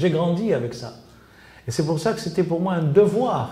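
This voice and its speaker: At a moderate pace, a man with a fairly high pitch speaks amid audible room echo and noticeable background noise. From Tunisia. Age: 70s. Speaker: interviewee researching his father's assassination. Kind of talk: interview. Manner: halting, many repetitions and fillers.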